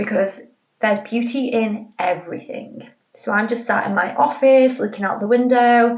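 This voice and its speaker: A woman talks at a moderate speed in a fairly high voice, with normal movement in her pitch. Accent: British. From Britain. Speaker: podcast host. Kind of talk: casual chat. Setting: home office. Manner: chatty, informal.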